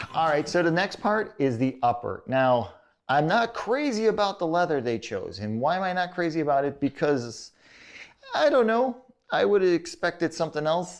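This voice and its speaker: A man speaks with an American accent. His tone is animated and his intonation lively. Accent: Chicago accent, sometimes thicker. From Chicago, US Midwest. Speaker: boot reviewer. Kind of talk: product review. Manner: casual, animated.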